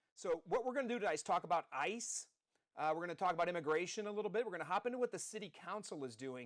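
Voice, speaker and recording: A loud man with an American accent talks at a very fast pace, his high-pitched voice full of lively intonation. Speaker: podcast host, former city councilman. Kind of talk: live political podcast monologue. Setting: studio, live stream. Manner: energetic, rambling.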